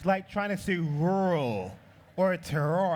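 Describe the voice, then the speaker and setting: Speaking at a fairly slow pace with an American accent, a man uses a high pitch and an animated tone. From New York City. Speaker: liqueur brand founder. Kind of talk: live demo talk to audience.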